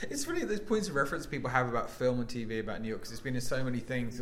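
Over noticeable background noise, a man with a British accent speaks at a very fast pace, his medium pitch showing ordinary variation. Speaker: comedian and podcast host. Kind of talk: casual chat. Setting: comedy club.

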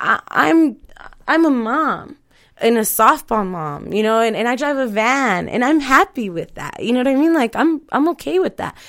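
A woman with an American accent talks at a moderate pace. Her high voice swings very widely in pitch. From Colorado, US (Mexican parents). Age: 30s. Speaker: podcast host. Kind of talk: casual chat. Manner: laughs often.

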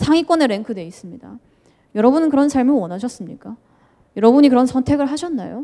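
Talking at a very fast pace, a woman with a high pitch uses lively intonation and big swings in loudness. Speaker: editor-in-chief of youth magazine. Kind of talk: lecture. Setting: stage with audience. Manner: interactive, asks audience questions.

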